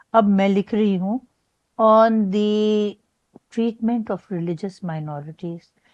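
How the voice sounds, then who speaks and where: In a dry, close recording with no echo and a quiet background, a woman speaks at a medium pitch with a dark, mellow tone and ordinary pitch variation. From Pakistan. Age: 90s. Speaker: retired high court judge. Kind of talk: interview answer.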